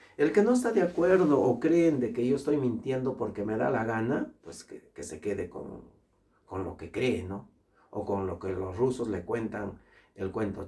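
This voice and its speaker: A man with a medium pitch talks at a fairly slow pace in an animated tone, his pitch swinging very widely. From Peru. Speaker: international law specialist and lecturer. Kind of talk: opinion monologue.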